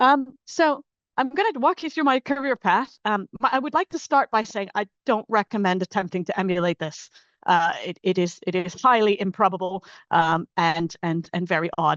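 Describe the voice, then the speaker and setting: Over a quiet background, a woman at a medium pitch and moderate pace swings her pitch very widely, the sound dry and close with no echo. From Pacific Islands. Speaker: scientist, spacecraft engineer. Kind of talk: seminar talk.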